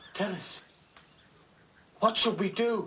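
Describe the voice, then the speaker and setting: Putting on a character voice, a man pitches his speech high. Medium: short film.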